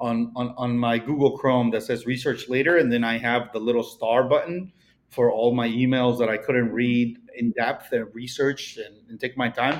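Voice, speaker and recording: Here is a man with a Mexican accent. His pitch sits in the medium range. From Mexico. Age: 30s. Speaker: real estate broker. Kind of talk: casual interview chat.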